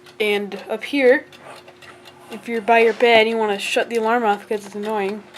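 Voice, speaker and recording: There is noticeable background noise behind a woman with a fairly high pitch. Her intonation is monotone and flat, at a moderate pace. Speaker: antique clock collector. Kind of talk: casual talk to camera.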